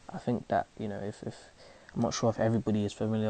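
In a London accent, a man speaks at a fairly low pitch. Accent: London multicultural youth English. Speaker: actor and spoken word artist. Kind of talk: casual conversation. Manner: conversational, filler-heavy, halting.

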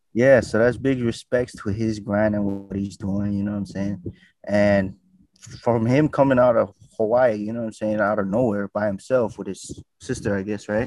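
This man has a normal speaking voice with a fairly low pitch. He talks at a moderate pace. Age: 20s. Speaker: street interview content creator. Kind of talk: casual podcast chat. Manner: laid-back, repeats filler phrases.

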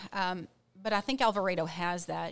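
With an American accent and a plain, everyday voice, a woman speaks at a medium pitch and a moderate pace in a very clean recording with a silent background. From Texas, Ranger (rural West-Central Texas). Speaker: school principal. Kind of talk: interview.

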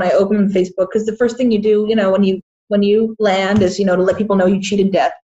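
A woman with an American accent and a plain, everyday voice, medium pitch and fairly even intonation. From Boston area, US. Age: 20s. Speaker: independent filmmaker. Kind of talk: casual interview.

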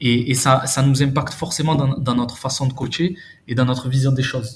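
Somewhat breathy, a man talks at a moderate pace. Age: 30s. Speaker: youth football coach. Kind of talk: casual chat.

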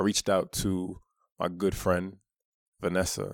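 Recorded dry and close with no echo, a man speaks in a very deep, low pitch with a New York accent. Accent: New York (Brooklyn) American. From Brooklyn, New York, US. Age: 30s. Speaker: author. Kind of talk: personal monologue promoting an audiobook.

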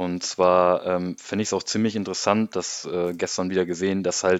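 In a normal speaking voice, a man talks at a moderate pace with a fairly low pitch and fairly even intonation. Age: 20s. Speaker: podcast co-host, football fan. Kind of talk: casual chat.

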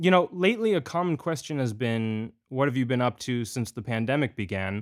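On a very clean recording with a silent background, a man with a plain, everyday voice speaks at a fairly quick pace and medium pitch, his intonation lively. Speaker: podcast host. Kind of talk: interview.

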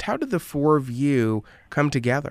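A man speaks at a medium pitch with ordinary pitch variation and a normal speaking voice. The recording is very clean, with a silent background. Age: 20s. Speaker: radio interviewer. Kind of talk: recorded interview.

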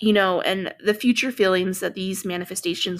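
There is vocal fry in this woman's voice. The recording is very clean, with a silent background. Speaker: podcast host and energy healing practitioner. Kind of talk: casual solo podcast monologue. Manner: conversational, many fillers.

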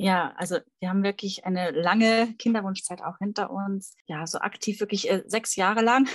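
A woman with an unremarkable speaking voice talks at a moderate pace and medium pitch. Her intonation is fairly even, and she leaves hardly any pauses. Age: 30s. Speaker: fertility coach. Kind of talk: interview conversation.

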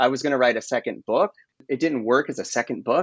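This man has an unremarkable speaking voice, medium in pitch, with an American accent. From rural US. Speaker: author. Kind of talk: interview.

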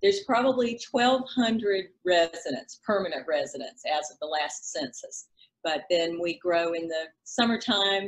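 A woman with a Southern US accent, lively intonation and a moderate pace. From South Carolina. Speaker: real estate broker. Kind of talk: casual interview chat.

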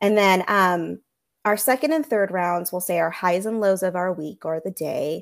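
A woman with an American accent, medium pitch and a normal speaking voice, on a very clean recording with a silent background. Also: ordinary pitch variation, moderate pace. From California, Central Coast. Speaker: elementary school teacher. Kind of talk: interview.

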